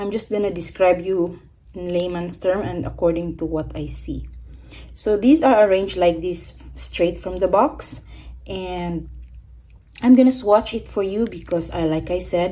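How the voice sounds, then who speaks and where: A woman speaks with a non-native accent and some vocal fry. Her fairly low voice has a dark, mellow tone and ordinary pitch variation. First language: not English. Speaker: stationery YouTuber. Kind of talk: product review. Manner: casual, hesitant with fillers.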